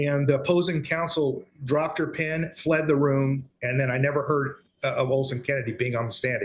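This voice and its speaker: Speaking at a fairly quick pace, a man with a plain, everyday voice and a fairly high pitch keeps his intonation fairly even. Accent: American. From Texas. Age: 60s. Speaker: guest, father in custody dispute. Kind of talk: interview testimony.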